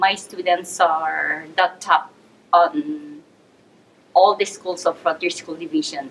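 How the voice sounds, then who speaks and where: With noticeable background noise, a woman with a Filipino accent speaks very slowly at a medium pitch, her intonation lively. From Philippines. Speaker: teacher. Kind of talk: interview. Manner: hesitant, with fillers.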